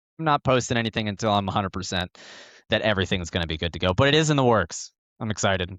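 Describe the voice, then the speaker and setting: In a dry, close sound with no echo and a quiet background, a man with an American accent talks at a very fast pace, his fairly low voice full of lively intonation. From Northern Virginia. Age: 20s. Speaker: live production technician and sim racer. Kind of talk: casual podcast chat.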